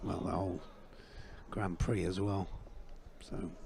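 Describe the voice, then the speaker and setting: A man speaks at a fairly slow pace, his tone dark and mellow and his voice somewhat breathy. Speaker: sports commentator. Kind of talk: live commentary. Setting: live sports event. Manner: animated.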